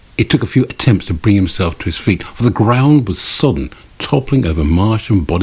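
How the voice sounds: This is a natural reading voice. The intonation is lively.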